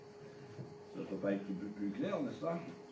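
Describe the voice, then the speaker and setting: A man's speech crawls along very slowly, with audible echo in the room and noticeable noise behind him. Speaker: pastor. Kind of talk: sermon. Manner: halting, with hesitations.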